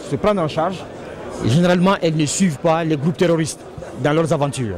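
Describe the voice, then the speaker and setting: Light background noise sits behind a man with a fairly high pitch and ordinary pitch variation. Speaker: government official. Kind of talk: interview. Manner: formal. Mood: calm, measured. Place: hall. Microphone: handheld.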